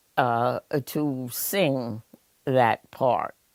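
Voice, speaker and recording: A woman with an American accent is heard on a very clean recording with a silent background and a dry, close sound with no echo. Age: 80s+. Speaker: retired acting teacher and arts administrator. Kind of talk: interview answer.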